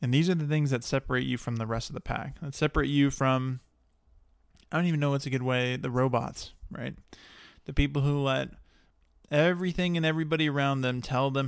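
A man's plain, everyday voice, with an American accent, medium pitch, fairly even intonation and a moderate pace, on a very clean recording with a silent background. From Texas, Dallas area. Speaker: podcast host. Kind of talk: solo podcast monologue. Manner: casual with many fillers.

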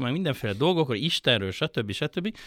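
On a very clean recording with a silent background, a man's bright, sharp tone comes through in a dry, close sound with no echo. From Hungary, Budapest. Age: 50s. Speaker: writer and poet. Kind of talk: casual chat. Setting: studio.

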